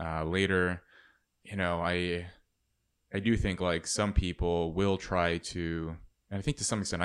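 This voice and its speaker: A man with an American accent speaks in a very deep, low pitch and a monotone, flat intonation. The recording is very clean, with a silent background. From California (Los Angeles). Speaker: author. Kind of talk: interview conversation. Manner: halting.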